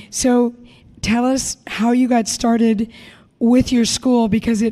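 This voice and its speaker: Fairly slow and somewhat breathy, a woman speaks with a dark, mellow tone. Her pitch is fairly high. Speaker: podcast host. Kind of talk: interview. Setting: educators conference.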